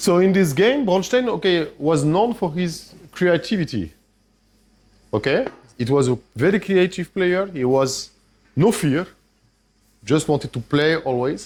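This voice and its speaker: A man with a French accent speaks in a high pitch at a fairly slow pace. He leaves long, frequent pauses. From France. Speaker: chess grandmaster and trainer. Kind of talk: masterclass lecture with audience interaction. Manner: hesitant, with restarts.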